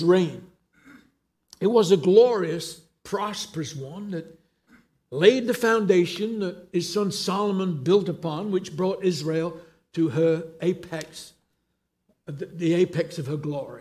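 A man's high-pitched voice in an English accent, fairly slow with long, frequent pauses, ordinary pitch variation and big swings in loudness. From England. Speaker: pastor. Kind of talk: sermon.

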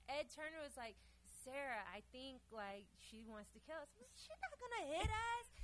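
This woman speaks at a moderate pace in an American accent, with big swings in loudness. Background noise is noticeable behind her. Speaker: community organizer. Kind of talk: casual chat. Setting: stage with audience.

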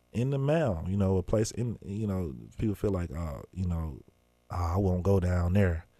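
A man's very deep, low voice with a dark, mellow tone and a Memphis accent, at a moderate pace with ordinary pitch variation. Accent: Southern US (Memphis). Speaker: journalist and hip-hop artist. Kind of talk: interview.

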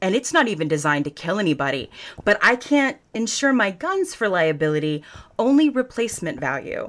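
Very wide pitch swings stand out in this very clean recording with a silent background. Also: woman. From US South. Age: 40s. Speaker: political candidate. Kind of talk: interview. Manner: folksy and profane.

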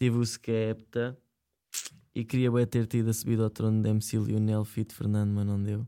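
A man with a European Portuguese accent, a dark, mellow tone and monotone, flat intonation at a moderate pace, on a very clean recording with a silent background. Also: medium pitch for a man. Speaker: online radio show co-host. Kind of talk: casual chat.

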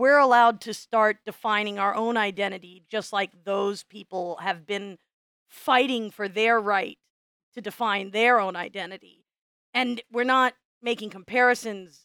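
A woman with an American accent speaks at a moderate pace in a fairly high pitch. Her tone is bright and sharp, and the sound is dry and close with no echo. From US Midwest. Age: 40s. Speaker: podcast co-host and teacher. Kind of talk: casual chat.

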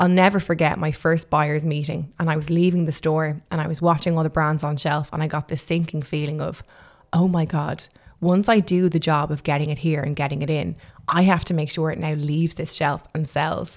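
With an Irish accent, a woman speaks at a fairly quick pace in a very deep, low pitch and monotone, flat intonation, on a very clean recording with a silent background. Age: 20s. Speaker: makeup artist and entrepreneur. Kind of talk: interview.

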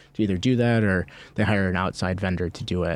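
In a very clean recording with a silent background, a man speaks with a very deep, low pitch. His pace is fairly quick and his intonation fairly even. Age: 30s. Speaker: real estate broker. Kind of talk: casual chat. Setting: studio.

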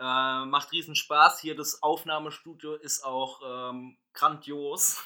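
A man's fairly high-pitched, bright, sharp voice at a very slow pace, monotone and flat, with big swings in loudness and hardly any pauses. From Palatinate (Pfalz), Germany. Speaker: podcast host. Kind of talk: casual chat. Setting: private apartment.

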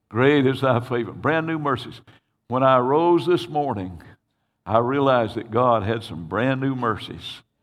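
Audible room echo surrounds a man's voice. He speaks at a medium pitch with very wide pitch swings. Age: old. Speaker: pastor. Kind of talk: sermon. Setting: church.

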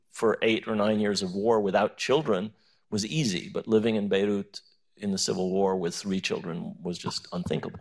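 Fairly low in pitch, a man with a normal speaking voice talks at a moderate pace with ordinary pitch variation. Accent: American. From US, New York. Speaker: professor. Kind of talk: panel discussion. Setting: stage with audience.

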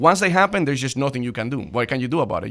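A man speaks very fast at a fairly high pitch. His intonation is lively. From Cuban descent. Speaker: financial advisor. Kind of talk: interview.

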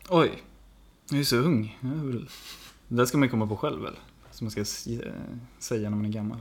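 A man speaks at a moderate pace with medium pitch. His speech has ordinary pitch variation and long, frequent pauses. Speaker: podcast co-host. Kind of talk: casual chat.

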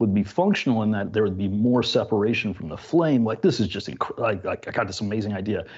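An unremarkable speaking voice with ordinary pitch variation. The background is quiet. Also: man. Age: 50s. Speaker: concrete artisan and educator. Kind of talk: casual chat.

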